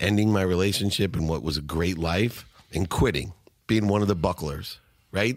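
A man with a very deep, low pitch talks at a fairly quick pace with ordinary pitch variation. The recording is very clean, with a silent background. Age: 50s. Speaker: entrepreneur and speaker. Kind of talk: interview. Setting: studio.

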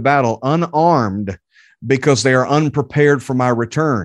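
Over a quiet background, a man of medium pitch talks at a moderate pace with ordinary pitch variation. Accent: Southern US. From North Carolina (Charlotte area). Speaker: preacher. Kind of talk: sermon; interview.

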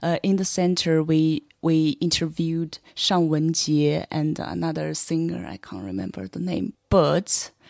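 A woman speaks at a very deep, low pitch with lively intonation. Her pace is fairly slow, and the sound is dry and close with no echo. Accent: Chinese. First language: Chinese. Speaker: LGBT podcast creator. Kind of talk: casual panel discussion.

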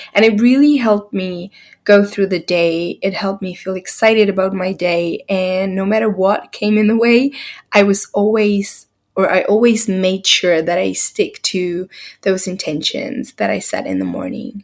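A woman in a normal speaking voice, medium in pitch, with ordinary pitch variation. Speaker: podcast host and artist coach. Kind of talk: guided meditation. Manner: slow, calm, soothing, soft-spoken.

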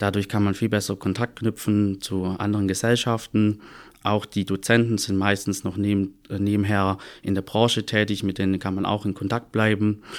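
On a very clean recording with a silent background, a man talks at a moderate pace in a monotone, flat intonation. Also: fairly low pitch for a man. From Stuttgart, Swabia (southwest Germany). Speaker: audit and tax assistant, former dual student. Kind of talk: podcast interview.

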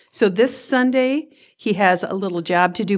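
A woman with a Minnesotan accent speaks at a medium pitch with ordinary pitch variation, recorded very cleanly against a silent background. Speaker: volunteer event organizer. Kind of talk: interview.

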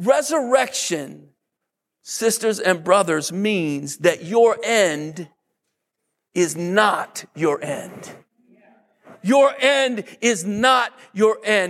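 Speaking with a Southern US accent, a man talks very slowly at a high pitch with lively intonation. He takes long, frequent pauses. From US South, Mississippi. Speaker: pastor. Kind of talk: sermon. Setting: church. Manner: fervent, rising declarations with hammering repetition.

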